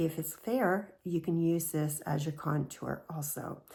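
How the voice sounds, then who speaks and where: A woman speaks at a fairly slow pace. Her voice is somewhat breathy and fairly low in pitch. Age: 60s. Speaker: beauty vlogger. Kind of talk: tutorial.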